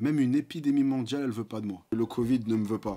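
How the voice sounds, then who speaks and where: This man speaks very fast at a medium pitch, with ordinary pitch variation. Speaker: fitness youtuber. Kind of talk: casual reaction video. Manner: soft-spoken.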